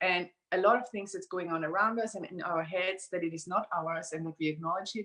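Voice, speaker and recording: The speaker is a woman. Her accent is non-native. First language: not English. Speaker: certified workshop facilitator. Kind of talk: live interview. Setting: live video stream.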